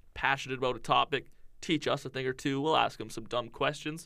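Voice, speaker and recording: A man with a slight Canadian accent, medium pitch, a bright, sharp tone, and a very fast pace. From Windsor, Ontario, Canada. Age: 20s. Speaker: college student podcaster. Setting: studio.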